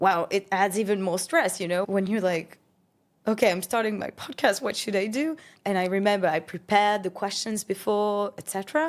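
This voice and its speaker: A woman with a French accent, medium pitch and ordinary pitch variation, on a very clean recording with a silent background. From France (Paris). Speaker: entrepreneur and podcast host. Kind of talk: interview conversation.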